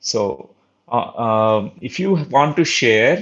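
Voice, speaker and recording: A man speaks with a Telugu accent. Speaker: spiritual teacher. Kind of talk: online spiritual talk. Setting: live online session. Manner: halting, many fillers.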